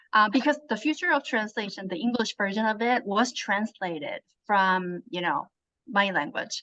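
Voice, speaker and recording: A woman with a Korean accent speaks at a medium pitch and moderate pace, her tone bright and sharp with lively intonation. The sound is dry and close with no echo, over a quiet background. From South Korea. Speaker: translator and author. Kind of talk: interview.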